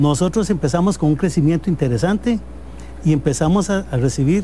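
A man with a plain, everyday voice, fairly high pitch and lively intonation. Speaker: business owner. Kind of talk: interview.

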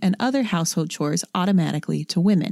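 Somewhat breathy and upbeat, a woman talks with a dry, close sound with no echo. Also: very clean recording, silent background. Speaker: archaeology podcast co-host. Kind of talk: casual chat with read-out research. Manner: upbeat, teacher-like.

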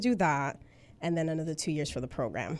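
In a very clean recording with a silent background, a woman with a fairly low pitch speaks with an American accent. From New York City (Bronx), Dominican family. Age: 20s. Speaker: registered nurse. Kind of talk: interview. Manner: bubbly.

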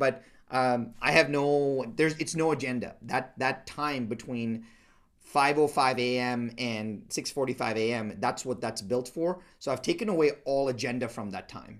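With a silent background on a very clean recording, a man talks at a moderate pace in a medium pitch, using ordinary pitch variation. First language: not English. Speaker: entrepreneur and business mentor. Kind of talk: interview conversation. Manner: halting.

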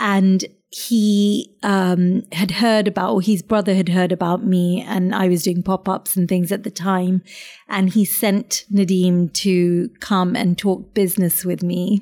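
A woman with a British accent speaks fairly slowly at a medium pitch, her tone dark and mellow, her loudness very even and her intonation monotone and flat. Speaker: chef and restaurant owner. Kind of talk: casual interview chat. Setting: restaurant.

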